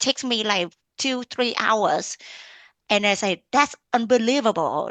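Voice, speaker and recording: A woman's fairly high voice with a Vietnamese accent and lively intonation, against a quiet background. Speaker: blogger and mom entrepreneur. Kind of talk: interview podcast conversation.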